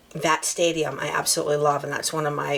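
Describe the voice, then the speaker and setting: A woman speaks in an American accent at a moderate pace, with noticeable background noise around her. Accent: New Jersey accent on certain words. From New Jersey, near Philadelphia. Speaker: transplant resident interviewed on podcast. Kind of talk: casual chat.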